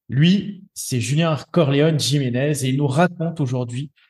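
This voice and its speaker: A man's fairly high, somewhat breathy voice moves at a fairly slow pace with ordinary pitch variation. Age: 30s. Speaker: podcast host. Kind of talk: scripted introduction; interview.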